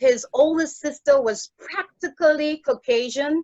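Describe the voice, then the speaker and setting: Dry and close with no echo, the voice keeps to a moderate pace. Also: woman. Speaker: toastmasters club member. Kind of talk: prepared speech.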